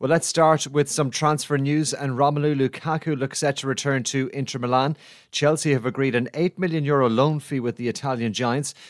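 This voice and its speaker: On a very clean recording with a silent background, a man talks fairly quickly. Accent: Irish. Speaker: sports news presenter. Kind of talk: news reading.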